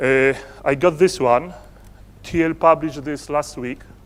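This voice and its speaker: A man talks in a Polish accent. His pace is fairly slow. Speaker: entrepreneur and conference speaker. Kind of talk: conference presentation. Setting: stage with audience. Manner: halting.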